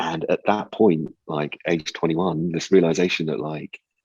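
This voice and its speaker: A man with a British accent at a moderate pace, very deep and low in pitch, monotone and flat, in dry, close sound with no echo. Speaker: advertising strategy executive. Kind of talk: interview conversation. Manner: halting, many repeated words and fillers.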